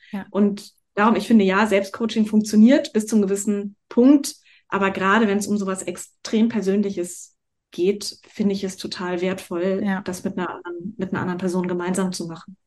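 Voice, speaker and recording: A woman talks at a moderate pace in a normal speaking voice. Her medium pitch stays fairly even. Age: 40s. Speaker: life and business coach, actress. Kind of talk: casual interview chat.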